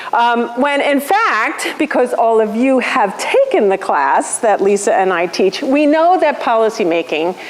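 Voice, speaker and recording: A woman talks loudly at a moderate pace, her pitch swinging very widely. Noticeable background noise runs underneath. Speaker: policy lecturer. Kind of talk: lecture. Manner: animated. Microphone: room with bad acoustics.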